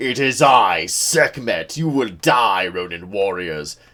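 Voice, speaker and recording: This is a man doing a put-on character voice. He speaks at a medium pitch and a fairly slow pace. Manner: intense, menacing.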